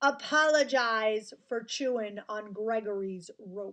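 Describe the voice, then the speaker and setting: A woman puts on a gruff character voice. She speaks at a fairly slow pace with ordinary pitch variation. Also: fairly high pitch for a woman. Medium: read story. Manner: booming, gruff, talks of himself by name.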